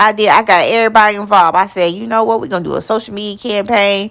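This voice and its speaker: The speaker talks at a very fast pace with vocal fry in a Southern US accent. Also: woman. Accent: Southern US country. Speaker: nonprofit founder. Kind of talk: motivational personal story to camera. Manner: passionate, energetic.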